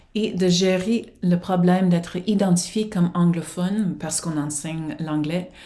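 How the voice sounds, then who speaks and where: This woman has an English accent. She talks fairly slowly. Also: ordinary pitch variation, hardly any pauses. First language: English (speaking French). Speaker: professor and researcher. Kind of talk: prerecorded conference presentation. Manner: formal.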